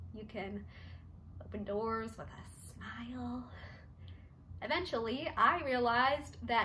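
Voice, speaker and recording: A woman speaking at a very slow pace. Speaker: actor doing an audition monologue. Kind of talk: dramatic monologue performance. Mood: expressive, shifting emotions. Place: home room. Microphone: phone near.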